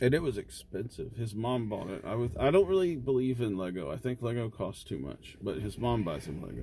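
The pitch swings very widely, with vocal fry. There are hardly any pauses. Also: man, medium pitch for a man. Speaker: podcast co-host. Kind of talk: casual chat.

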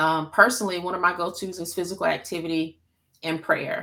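A woman with an American accent speaks at a moderate pace in a fairly low voice. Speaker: mental health counselor. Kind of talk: interview conversation, educational.

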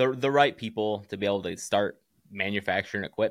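A man with an American accent speaks in a normal speaking voice at a fairly low pitch, recorded very cleanly with a silent background. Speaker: barbell company founder and firefighter. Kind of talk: casual interview chat.

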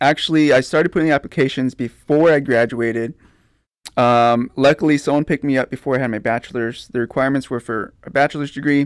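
In a plain, everyday voice with an American accent, a man of medium pitch speaks at a fairly quick pace with fairly even intonation, the dry, close sound free of echo on a very clean recording with a silent background. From Pleasanton, South Texas. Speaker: entrepreneur. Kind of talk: casual interview.

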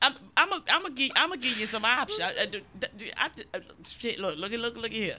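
Amid noticeable background noise, a woman with a high pitch talks at a fairly quick pace, her pitch swinging very widely between long, frequent pauses. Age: 30s. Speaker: comedian podcast co-host. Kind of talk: casual chat. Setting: garage.

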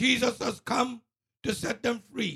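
Raised and projected, a man's extremely high voice carries a bright, sharp tone at a fairly slow pace. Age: 70s. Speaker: radio co-host. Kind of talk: casual chat.

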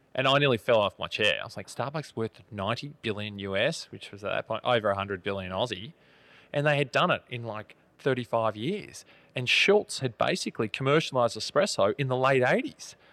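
A man with an Australian accent talks at a fairly quick pace at medium pitch, his tone bright and sharp and his intonation lively, in a very clean, dry, close recording with no echo and a silent background. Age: 30s. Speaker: coffee company founder and CEO. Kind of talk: casual interview.

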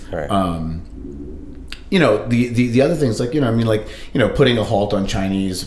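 Amid noticeable background noise and audible room echo, a man speaks fairly quickly with ordinary pitch variation. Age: 40s. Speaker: musician and record collector. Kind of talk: casual chat. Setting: in-person recording at guest's home. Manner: animated.

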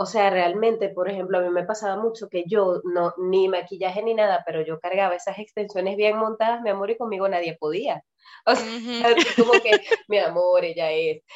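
A woman speaks at a moderate pace with a medium pitch. She has an ordinary speaking voice and fairly even intonation. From Venezuela. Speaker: podcast host and nutrition coach. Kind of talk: casual chat.

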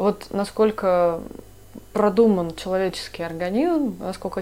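Speaking at a fairly slow pace, a woman keeps her intonation fairly even and her tone dark and mellow. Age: 30s. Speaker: podcast co-host, doctor. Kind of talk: casual chat.

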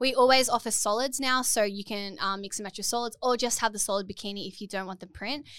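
A woman's fairly high voice with an Australian accent, very fast and with hardly any pauses, in a fairly even intonation. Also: big swings in loudness. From Port Macquarie, Australia. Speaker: bikini brand founder and influencer. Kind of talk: casual interview chat. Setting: studio. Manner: humorous, laughs often.

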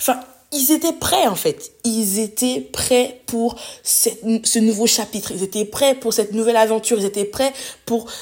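Her voice fairly high, a woman speaks at a moderate pace with ordinary pitch variation. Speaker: podcast host. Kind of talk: solo motivational monologue. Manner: spontaneous, unscripted.

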